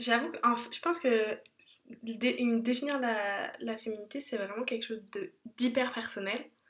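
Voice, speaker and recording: A woman's high-pitched voice at a fairly slow pace, with ordinary pitch variation and long, frequent pauses. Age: 20s. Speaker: podcast host. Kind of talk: casual chat.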